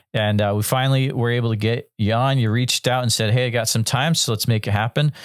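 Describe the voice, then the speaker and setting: In an American accent, a man talks at a very fast pace with a medium pitch and fairly even intonation. The loudness stays very even, and the recording is very clean with a silent background. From western Massachusetts. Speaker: podcast host. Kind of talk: interview.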